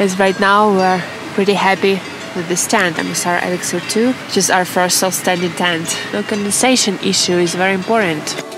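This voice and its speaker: A woman talks with fairly even intonation over clear background music, the sound dry with no echo. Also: moderate pace. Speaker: hiker vlogger. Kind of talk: casual vlog chat. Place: tent. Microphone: phone near.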